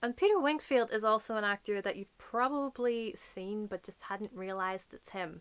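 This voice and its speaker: Speech comes at a moderate pace with ordinary pitch variation. The loudness rises and falls in big swings. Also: woman, fairly high pitch for a woman. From Northern Ireland. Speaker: book YouTuber. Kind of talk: casual talk to camera.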